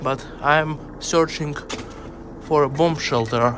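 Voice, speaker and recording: A man talks at a very slow pace with fairly even intonation, the sound dry with no echo but with noticeable background noise. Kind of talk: casual vlog commentary. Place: tunnel cave. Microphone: phone near.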